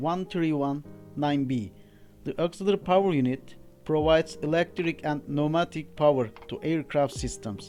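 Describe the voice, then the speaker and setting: Music plays in the background as the speaker talks at a moderate pace with a non-native accent. The pitch varies in an ordinary way. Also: man, fairly high pitch for a man. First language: not English. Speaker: aircraft APU technician and engineer. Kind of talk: technical training narration.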